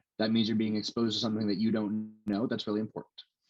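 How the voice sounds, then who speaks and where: A man with a fairly low voice is captured with a dry, close sound and no echo. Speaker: researcher giving a lecture. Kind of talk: lecture. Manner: fast; halting with many fillers.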